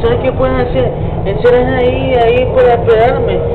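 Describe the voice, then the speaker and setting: Moderate pace, with loud background noise. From New York City area, USA. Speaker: tourist filming a ride. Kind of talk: casual phone call. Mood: excited, admiring the view. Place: train. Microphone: phone near.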